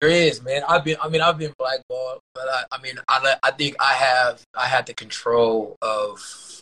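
Using an ordinary speaking voice, a man with a fairly high pitch talks at a moderate pace with hardly any pauses, in a dry, close sound with no echo. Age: 30s. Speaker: former pro basketball player. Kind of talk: casual interview.

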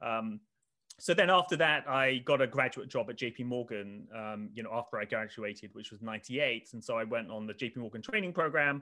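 A man with a southern English accent talks at a fairly quick pace and medium pitch, his tone bright and sharp. His loudness swings widely while his pitch varies in an ordinary way, over a quiet background. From England, Oxford. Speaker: finance researcher. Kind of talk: interview.

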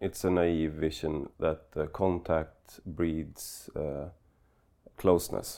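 A man with a Swedish accent, a very deep, low pitch, a dark, mellow tone and fairly even intonation, in a very clean recording with a silent background. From Sweden. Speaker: political blogger and podcaster. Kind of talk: interview. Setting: studio. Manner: halting.

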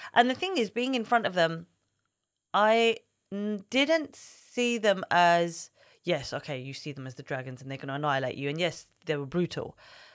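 A woman speaks at a moderate pace, her pitch swinging very widely and her loudness rising and falling sharply, on a very clean recording with a silent background. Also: fairly low pitch for a woman. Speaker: entrepreneur, henna artist. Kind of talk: casual interview chat.

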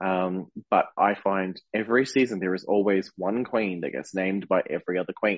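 A man's plain, everyday voice, fairly low in pitch with fairly even intonation. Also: moderate pace. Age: 30s. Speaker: podcast co-host and drag performer. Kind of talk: casual chat.

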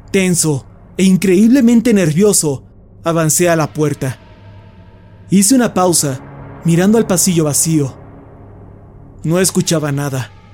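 A high-pitched man speaks at a fairly slow pace in a dramatic tone with lively intonation. Long, frequent pauses break up his speech over music in the background. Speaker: horror story narrator. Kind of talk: scripted narration, creepypasta horror reading, hushed and suspenseful. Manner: slow, hushed, tense pacing with dramatic pauses; first-person narration with a fearful, whispery intensity.

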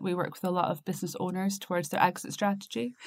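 This very clean recording has a silent background. A woman speaks at a medium pitch with a slight Scottish accent. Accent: mild Scottish. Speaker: business consultancy co-founder. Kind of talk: casual chat.

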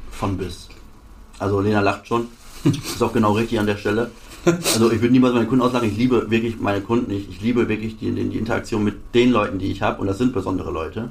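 A man speaks at a very fast pace. Noticeable background noise runs beneath him. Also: medium pitch for a man, fairly even intonation. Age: 20s. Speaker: sports car dealer. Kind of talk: interview. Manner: halting.

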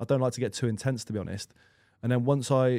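Over a very clean recording with a silent background, a man speaks at a moderate pace and medium pitch. His dark, mellow tone keeps a fairly even intonation. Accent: English. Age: 30s. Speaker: professional football goalkeeper. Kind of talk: casual chat.

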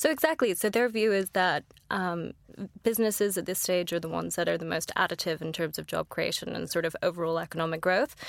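With an American accent and vocal fry, a woman talks at a very fast pace and fairly low pitch with ordinary pitch variation, over a silent background in a very clean recording. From United States. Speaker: investor. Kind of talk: podcast interview.

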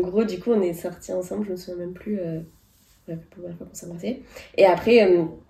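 A woman speaks at a moderate pace with fairly even intonation and a fairly low pitch. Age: 30s. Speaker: podcast co-host. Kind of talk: casual chat.

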